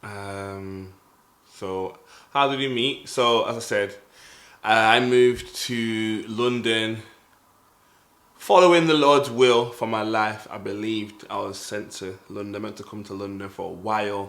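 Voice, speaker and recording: With a Mancunian accent, a man speaks at a fairly slow pace, his loudness swinging widely amid audible room echo. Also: medium pitch for a man, ordinary pitch variation. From northern England, Manchester. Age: 20s. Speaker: podcast co-host. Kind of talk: casual chat.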